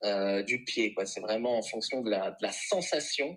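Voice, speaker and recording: This is a man talking. The way his pitch moves is ordinary. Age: 30s. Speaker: reflexologist. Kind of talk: interview.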